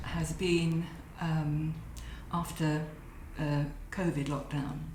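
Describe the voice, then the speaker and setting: Someone speaks at a fairly slow pace, with audible room echo. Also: woman. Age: 70s. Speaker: patient giving a testimonial. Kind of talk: testimonial. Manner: hesitant, frequent fillers.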